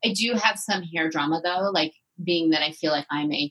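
An ordinary speaking voice from a woman, fairly quick in pace and lively in intonation. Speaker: podcast host. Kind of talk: casual chat.

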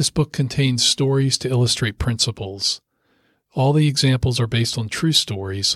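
Over a silent background in a very clean recording, a man speaks at a moderate pace in a normal speaking voice with fairly even intonation, the sound dry and close with no echo. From US Mid-Atlantic (Rockville, Maryland). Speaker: lawyer and author. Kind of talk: audiobook reading.

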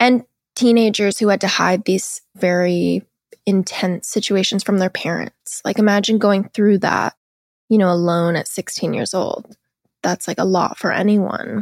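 A woman with a General American accent speaks fairly slowly in a flat, monotone way, recorded very cleanly against a silent background with a dry, close sound and no echo. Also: medium pitch for a woman. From Seattle, US. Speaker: podcast host, guest. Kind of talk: casual interview chat.

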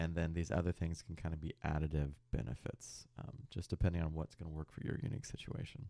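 Very fast and with hardly any pauses, a man speaks in a very deep, low pitch with a dark, mellow tone and vocal fry. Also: lively intonation. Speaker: psychologist, podcast co-host. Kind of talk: casual chat. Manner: relaxing, soothing to listen to.

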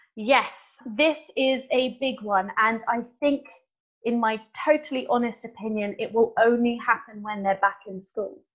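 A woman speaks in an ordinary speaking voice, fairly high in pitch. She goes at a fairly slow pace with ordinary pitch variation. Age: 20s. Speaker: secondary school teacher. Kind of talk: interview.

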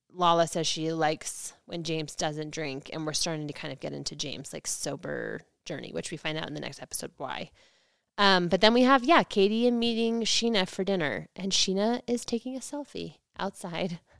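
Intonation is lively, at a moderate pace. It is a plain, everyday voice. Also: woman, fairly low pitch for a woman. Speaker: podcast host. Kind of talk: casual chat recapping a reality TV show.

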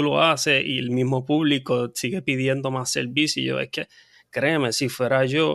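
A man speaks at a moderate pace in a medium pitch with flat, monotone intonation, recorded very cleanly against a silent background. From Puerto Rico. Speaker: veterinarian and nonprofit founder. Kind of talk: interview. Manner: halting, many fillers.

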